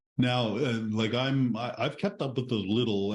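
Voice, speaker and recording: A man speaks at a moderate pace with fairly even intonation in an unremarkable speaking voice. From Newfoundland, Canada. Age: 60s. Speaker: author and retired librarian. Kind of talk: podcast interview.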